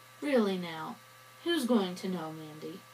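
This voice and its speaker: A woman puts on a character voice at medium pitch, drawling at a moderate pace with lively intonation. Clear background noise is present. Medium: read story. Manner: drawling, scornful.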